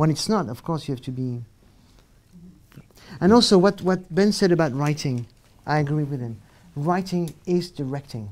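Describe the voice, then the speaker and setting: Moderate pace with long, frequent pauses, in a French accent. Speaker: film director. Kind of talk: panel discussion. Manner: halting.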